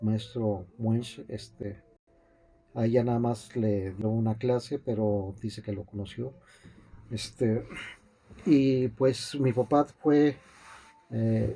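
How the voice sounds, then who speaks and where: A man with a dark, mellow tone and medium pitch speaks at a very slow pace with long, frequent pauses, fairly even intonation and a somewhat breathy sound. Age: 60s. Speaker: piano teacher. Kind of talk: interview. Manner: halting, many fillers and repetitions.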